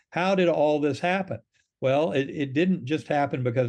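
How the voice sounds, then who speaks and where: Against a quiet background, the talking moves at a very fast pace. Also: man. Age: 60s. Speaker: neurosurgeon and near-death experiencer. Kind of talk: interview conversation.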